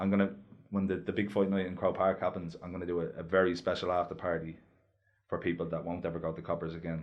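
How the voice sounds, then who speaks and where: A man's very deep, low voice in a Dublin accent, very fast and monotone with flat intonation. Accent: north inner city Dublin. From Ireland, north inner city Dublin. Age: 20s. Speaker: heavyweight boxer. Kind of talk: casual chat.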